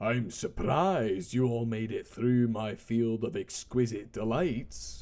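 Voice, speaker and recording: In a booming put-on character voice, a man speaks at a medium pitch and fairly slow pace with hardly any pauses. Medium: read story.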